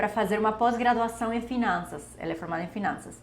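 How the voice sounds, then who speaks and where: In a room with audible echo, a woman speaks with lively intonation and a somewhat breathy sound. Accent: Spanish. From Bolivia, Santa Cruz de la Sierra. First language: Spanish (speaking Portuguese). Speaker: doctor, endocrinology. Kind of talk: personal story vlog.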